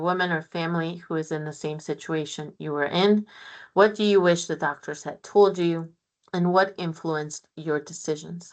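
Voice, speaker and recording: Against a quiet background, a woman with a Spanish accent and a fairly low pitch talks at a moderate pace with ordinary pitch variation. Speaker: physician researcher. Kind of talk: lecture.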